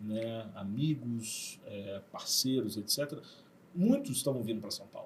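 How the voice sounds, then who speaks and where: Medium pitch from a man, somewhat breathy, at a fairly slow pace with ordinary pitch variation and big swings in loudness. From Rio de Janeiro, Brazil (Zona Sul). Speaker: university director. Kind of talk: podcast interview. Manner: hesitant, many fillers.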